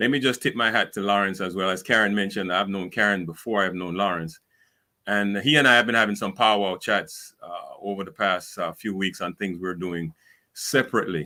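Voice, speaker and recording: In a Caribbean accent, a man with fairly low pitch and a bright, sharp tone speaks at a fairly quick pace with ordinary pitch variation on a very clean recording with a silent background. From Caribbean islands. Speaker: speaker and civic advisor. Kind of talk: panel discussion. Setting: live stream.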